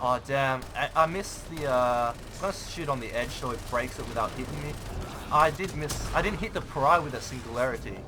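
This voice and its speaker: Over music in the background, a man with a fairly high pitch talks at a fairly quick pace with ordinary pitch variation. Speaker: gaming YouTuber. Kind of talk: gameplay commentary tutorial. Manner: fast; casual, halting with fillers.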